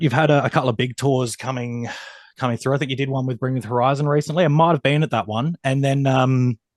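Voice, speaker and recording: Recorded with a dry, close sound and no echo, a man talks at a medium pitch in an Australian accent. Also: quiet background. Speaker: music interviewer. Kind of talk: interview.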